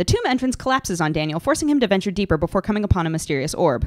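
A woman at a very fast pace, her pitch swinging very widely, with noticeable background noise. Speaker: narrator. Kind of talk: fast game lore recap narration.

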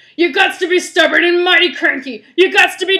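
The put-on character voice is extremely high in pitch and moves at a moderate pace. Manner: stubborn and cranky.

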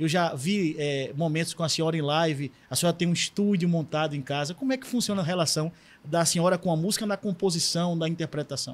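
Fairly quick and with hardly any pauses, a man speaks in a high voice with ordinary pitch variation. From Northeast Brazil. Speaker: pastor and podcast host; pastor, podcast host. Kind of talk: interview. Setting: studio. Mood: warm, respectful, curious. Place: studio. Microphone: studio mic.

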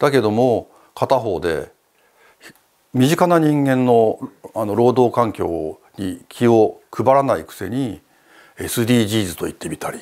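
A man speaks with lively intonation at a medium pitch. His loudness swings widely over a quiet background. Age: 60s. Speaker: retired TV documentary producer; guest. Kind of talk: interview. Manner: halting. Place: studio. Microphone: lapel.

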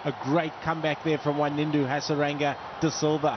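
Noticeable background noise sits under a man who talks at a moderate speed. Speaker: cricket commentator, former player. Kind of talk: live sports commentary with analysis. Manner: conversational, analytical.

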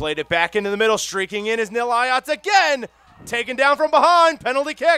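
A man's voice, dry and close with no echo. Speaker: sports commentator. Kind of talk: live sports commentary. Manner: fast, excitable play-by-play, rising on goals; animated, laughing, delighted.

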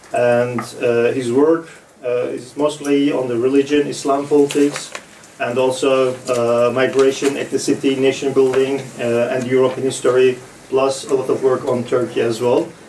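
Flat and monotone, a man speaks at a moderate pace amid light background noise and audible room echo. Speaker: event host moderator. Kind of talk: introduction of panel guests. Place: meeting room. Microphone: camera far.

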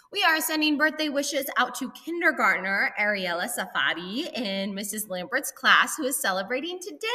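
With an American accent, a woman uses a raised, projected voice that is high in pitch, with very wide pitch swings, a playful, upbeat tone and a moderate pace. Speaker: school announcer. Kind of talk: school morning announcements. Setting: school PA system. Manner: playful, upbeat, teacherly. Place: office. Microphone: webcam.

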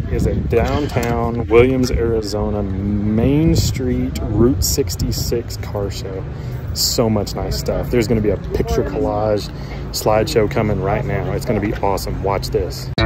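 Loud background noise accompanies a man speaking fairly slowly, the sound dry with no echo. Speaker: road trip vlogger. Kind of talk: casual vlog chat. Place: street. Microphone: phone near.

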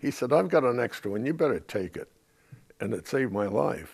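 Against a quiet background, a man with an American accent speaks with vocal fry and very wide pitch swings. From San Francisco. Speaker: WWII veteran. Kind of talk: oral history interview, recounting war memories. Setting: interview. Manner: matter-of-fact, understated about combat. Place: home room.

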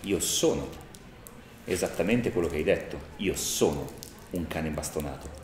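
A man's very deep, low voice at a moderate pace, with long, frequent pauses, audible room echo and light background noise. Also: ordinary pitch variation. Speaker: tabletop role-playing game player. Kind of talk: live actual-play role-playing session. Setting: live event at a gaming convention, filmed. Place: home room.

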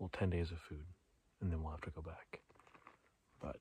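A man's very deep, low voice, somewhat breathy, with a dark, mellow tone and monotone, flat intonation, at a moderate pace, in a dry sound with no echo over light background noise. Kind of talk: casual vlog chat. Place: open country. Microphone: phone near.

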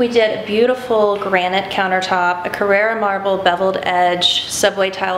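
Flat and monotone, the speech moves at a moderate pace against noticeable background noise. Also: woman. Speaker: renovation contractor. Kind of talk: home tour explanation. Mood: relaxed, proud. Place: kitchen.

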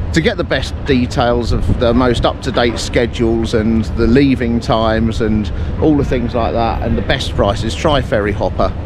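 A man speaks at a moderate pace, the sound dry with no echo and noticeable background noise. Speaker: travel vlogger. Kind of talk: casual vlog chat. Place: waterside. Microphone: phone near.

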